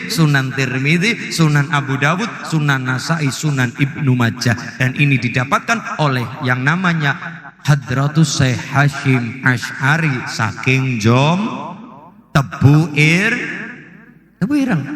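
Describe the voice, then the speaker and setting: Speaking in a Banyumas accent at a very slow pace, a man with a fairly high pitch keeps very even loudness and ordinary pitch variation amid noticeable background noise. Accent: Banyumasan (Ngapak) Javanese. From Central Java, Banyumasan. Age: 20s. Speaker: Islamic preacher. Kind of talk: religious sermon to live audience.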